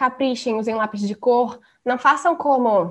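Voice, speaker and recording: The woman speaks with a high pitch. It moves up and down by an ordinary amount. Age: 20s. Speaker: design student. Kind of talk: casual chat.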